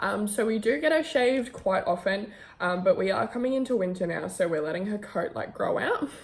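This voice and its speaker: Amid noticeable background noise, a woman speaks at a medium pitch and a fairly quick pace in an Australian accent. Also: lively intonation. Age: 20s. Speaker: vlogger and model. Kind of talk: casual vlog introduction. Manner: talkative, chatty.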